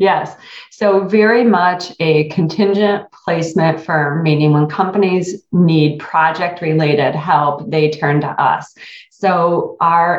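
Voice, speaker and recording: At a very slow pace, the speaker talks in a somewhat breathy voice with an American accent. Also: woman. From rural Michigan, US. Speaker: HR consulting firm owner. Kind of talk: interview.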